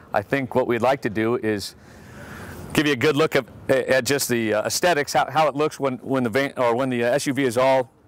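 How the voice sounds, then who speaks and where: A man at a moderate pace with fairly even intonation, very even loudness and a dry sound with no echo. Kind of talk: product demonstration. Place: street.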